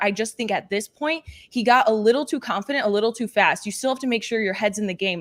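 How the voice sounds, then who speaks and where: A woman talks at a very fast pace in a fairly high pitch. Her tone is energetic, with ordinary pitch variation. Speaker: panelist. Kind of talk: casual chat.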